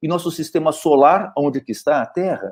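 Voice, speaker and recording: A man's fairly high voice with a dark, mellow tone, at a moderate pace over a quiet background. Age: 60s. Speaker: neurologist. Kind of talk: lecture. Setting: webinar video call.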